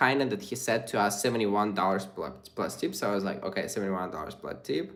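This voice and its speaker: The man's voice has vocal fry. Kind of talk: live stream chat with viewers.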